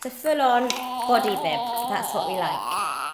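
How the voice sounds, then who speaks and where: A woman's voice moves at a moderate pace beneath loud background noise. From London. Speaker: mum vlogger. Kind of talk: casual vlog talk to camera. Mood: cheerful, chatty. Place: home room. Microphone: phone near.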